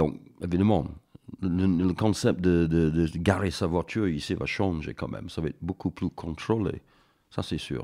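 With a very deep, low pitch and ordinary pitch variation, a man speaks fairly slowly in a dark, mellow tone. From northern England. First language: English (speaking French). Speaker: mountaineer and painter. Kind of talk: interview. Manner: halting, with many hesitations.

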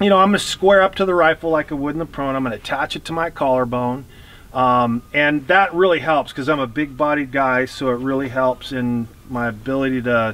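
A man at a fairly quick pace with ordinary pitch variation, dry sound with no echo. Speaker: shooting instructor. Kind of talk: instructional explanation. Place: open country.

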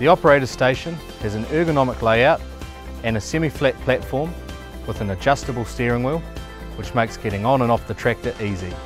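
Over clear music in the background, a man talks at a very fast pace with ordinary pitch variation, the sound dry with no echo. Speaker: presenter. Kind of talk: product walkaround presentation. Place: open country. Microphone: lapel.

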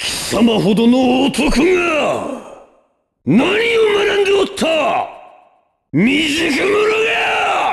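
Using a put-on character voice at an extremely high pitch, a man speaks at a very slow pace with audible echo and crowd noise in the background. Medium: dub. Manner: commanding, theatrical.

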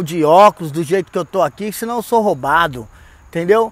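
A man is speaking. The sound is dry, with no echo. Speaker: tourist vlogger. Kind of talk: casual vlog chat. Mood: upbeat, cheerful. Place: street. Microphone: earbuds.

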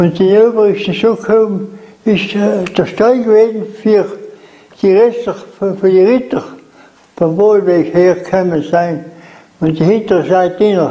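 With a South Tyrolean accent, the speaker moves at a fairly slow pace, broken by long, frequent pauses. Intonation stays fairly even and loudness very even. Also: man, high pitch for a man. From South Tyrol, Lana. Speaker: contemporary witness. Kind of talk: interview answer. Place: home room. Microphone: lapel.

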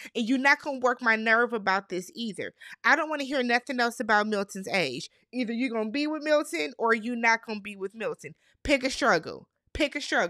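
Against a quiet background with a dry sound and no echo, a woman talks at a fairly quick pace in a bright, sharp, fairly high voice, animated in tone with lively intonation. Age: 30s. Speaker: YouTube reality TV recapper. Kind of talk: casual recap monologue. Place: home room. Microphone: studio mic.

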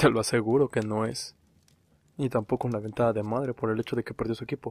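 A soft-spoken man at a medium pitch, in a very clean recording with a silent background and a dry, close sound with no echo. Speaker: podcaster. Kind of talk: horror storytelling. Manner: slow.

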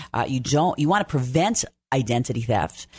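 A woman talks at a fairly quick pace, and her intonation is lively. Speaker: radio host. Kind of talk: radio dj patter, upbeat show intro and sign-off. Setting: radio studio. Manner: bright, chatty, promotional. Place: studio. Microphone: studio mic.

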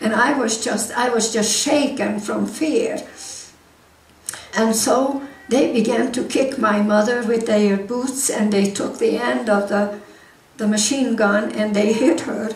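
Very slowly and with audible room echo, a woman with a Hungarian accent speaks at a fairly high pitch with ordinary pitch variation. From Hungary. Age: 80s+. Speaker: war survivor speaker; guest. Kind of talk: church talk to congregation. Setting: church hall. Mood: emotional war memory.

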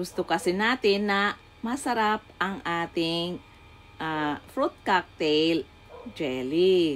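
A woman with a fairly low pitch speaks at a very slow pace, her intonation lively. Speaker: home cook YouTuber. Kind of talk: cooking tutorial. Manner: warm, motherly, chatty.

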